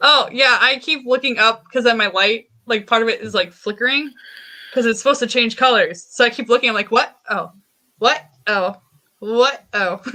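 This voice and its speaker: A woman speaks with an ordinary speaking voice at a fairly high pitch. Her pitch variation is ordinary and her pace moderate. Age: 20s. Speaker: podcast guest. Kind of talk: casual chat.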